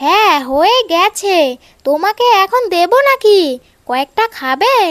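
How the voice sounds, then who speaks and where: A woman performs a cartoonish character voice at an extremely high pitch. She moves very slowly, with very wide pitch swings. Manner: sharp, quick-tempered.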